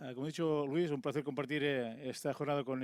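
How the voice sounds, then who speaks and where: A man's medium-pitched voice at a very fast pace, in a very clean recording with a silent background. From Catalonia, Tarragona. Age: 50s. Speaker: conference speaker, former local official. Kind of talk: conference talk. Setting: stage with audience.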